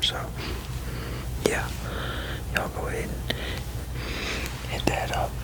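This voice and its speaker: A man's whisper amid noticeable background noise. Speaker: fragrance reviewer and ASMR creator. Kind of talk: fragrance review whispered to camera. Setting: home recording, noisy. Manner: whispered.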